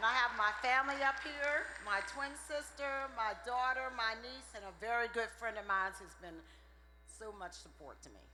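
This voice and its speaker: The speech moves at a moderate pace with big swings in loudness. Audible room echo fills the recording. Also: woman, fairly high pitch for a woman, ordinary pitch variation. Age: 60s. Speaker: graduating student. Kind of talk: brief interview.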